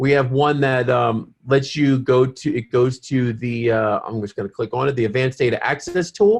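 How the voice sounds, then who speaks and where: The voice is somewhat breathy and runs on with hardly any pauses. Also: man, medium pitch for a man, ordinary pitch variation, moderate pace. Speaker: webinar host for a science education campaign. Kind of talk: webinar presentation. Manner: halting.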